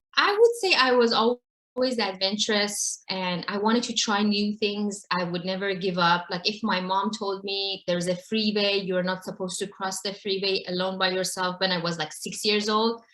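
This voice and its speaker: A woman with an Iranian accent at a medium pitch, moderate pace and fairly even intonation, with hardly any pauses. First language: Farsi. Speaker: mountain climber and advocate for girls. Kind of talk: interview storytelling.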